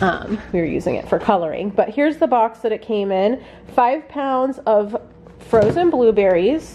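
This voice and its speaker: A woman's voice sits fairly high in pitch. Background noise is noticeable behind her. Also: lively intonation, moderate pace. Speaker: homesteading vlogger. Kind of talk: casual haul vlog.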